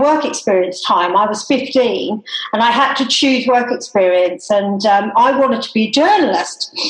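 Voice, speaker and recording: A woman's lively intonation at a fairly slow pace, over noticeable background noise. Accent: slight Australian. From Tasmania, Australia. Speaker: hairdresser. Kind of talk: casual chat.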